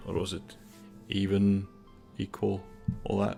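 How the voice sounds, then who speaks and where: A man with a Danish accent, fairly low in pitch and very slow in pace, with music in the background. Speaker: gaming YouTuber. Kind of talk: casual gameplay commentary.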